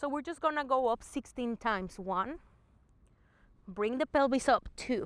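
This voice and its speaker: In a very clean recording with a silent background and a dry, close sound with no echo, a woman with a non-native accent speaks in a high pitch and a calm tone, with lively intonation, a moderate pace, and long, frequent pauses. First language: not English. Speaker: movement and fitness instructor. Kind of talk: guided exercise class. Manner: calm, encouraging instruction.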